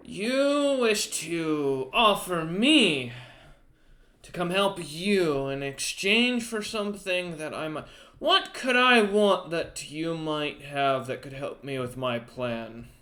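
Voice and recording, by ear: A man's high-pitched put-on character voice at a very slow pace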